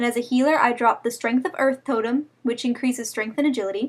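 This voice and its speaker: With a high pitch, a woman talks at a fairly quick pace and with fairly even intonation. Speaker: gaming video creator. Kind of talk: gameplay tutorial. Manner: rushed.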